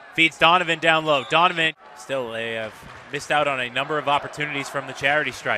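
A man with a fairly high pitch speaks in an animated tone and ordinary pitch variation, with noticeable background noise behind him. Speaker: basketball play-by-play announcer. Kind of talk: live sports commentary, play-by-play. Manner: animated, rising excitement on big plays and the final buzzer.

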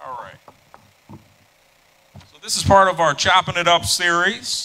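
Speaking at a fairly slow pace, a man with a high pitch shows big swings in loudness. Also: ordinary pitch variation. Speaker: event moderator. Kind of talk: live event moderation. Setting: stage with audience. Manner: animated.

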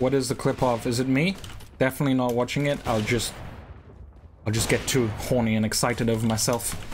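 A man talks at a fairly quick pace yet takes long, frequent pauses. Noticeable background noise runs underneath. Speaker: gaming streamer. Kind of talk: casual livestream chat while gaming. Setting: livestream, playing online game. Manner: animated, excitable, joking. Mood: joking, self-deprecating. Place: home room. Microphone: headset.

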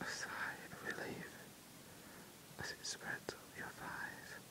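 Very slowly, a voice whispers while noticeable noise carries on behind it. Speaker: ASMR relaxation guide. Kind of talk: sleep relaxation guided meditation. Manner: slow, soft-spoken.

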